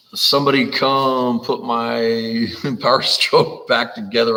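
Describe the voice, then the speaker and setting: Speaking at a fairly slow pace with an American accent, a man comes through over noticeable background noise. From California. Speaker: car builder, live stream host. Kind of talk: casual chat on live stream.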